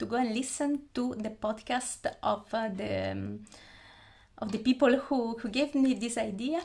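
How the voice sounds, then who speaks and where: A woman speaks with an Italian accent at a fairly high pitch. Her pace is fairly slow. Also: ordinary pitch variation. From Italy. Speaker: YouTuber, anime fan. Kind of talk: casual talk to camera. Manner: halting, many fillers.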